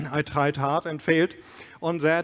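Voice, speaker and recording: A man with a German accent speaks at a fairly quick pace and fairly high pitch with fairly even intonation, in a dry, close sound with no echo. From Germany. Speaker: keynote speaker, business executive. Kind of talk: conference keynote.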